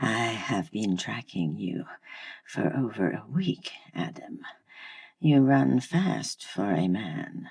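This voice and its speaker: This is a put-on character voice pitched low. It moves at a very slow pace. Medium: read story. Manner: formal, solemn.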